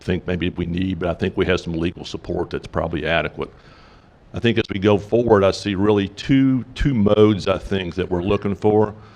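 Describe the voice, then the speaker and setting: A man speaks at a fairly low pitch and a fairly quick pace. His intonation stays fairly even. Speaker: industry committee member. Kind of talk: business meeting presentation. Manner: casual, hesitant with fillers.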